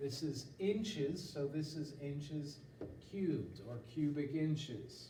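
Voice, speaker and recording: Fairly high in pitch, a man's voice comes through. The room echoes audibly and background noise is noticeable. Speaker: math teacher. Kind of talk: video lesson.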